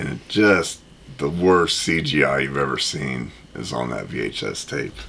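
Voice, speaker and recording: Audible room echo and noticeable background noise surround a man with a very deep, low pitch and an American accent. He talks at a fairly slow pace with lively intonation. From US Midwest, Indianapolis. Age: 30s. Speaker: board game youtuber. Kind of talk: casual chat.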